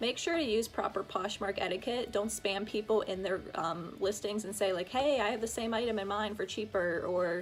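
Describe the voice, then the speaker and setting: With music playing behind it, the voice keeps a moderate pace and ordinary pitch variation. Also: woman. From Pittsburgh. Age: 20s. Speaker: fashion reseller. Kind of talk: casual talk to camera.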